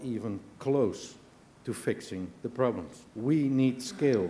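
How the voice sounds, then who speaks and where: Audible room echo surrounds a man speaking at a fairly slow pace in a dark, mellow tone with lively intonation. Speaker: business leader, keynote speaker. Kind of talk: conference keynote speech. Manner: animated.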